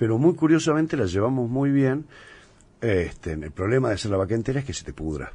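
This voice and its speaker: This man has a dark, mellow, somewhat breathy tone at medium pitch, talking at a fairly quick pace with very wide pitch swings. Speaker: chef and restaurant owner. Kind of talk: casual interview.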